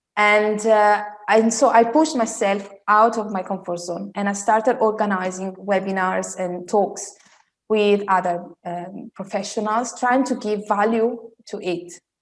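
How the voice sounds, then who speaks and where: Speaking in an Italian accent, a woman uses a medium pitch, a moderate pace and fairly even intonation. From Italy. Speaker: style coach. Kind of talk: interview.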